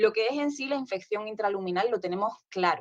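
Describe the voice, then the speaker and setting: The speech comes in a southern Spanish accent with lively intonation. Its pace is fairly quick. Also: woman. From southern Spain. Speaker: nurse specialist speaker at conference. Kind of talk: conference presentation.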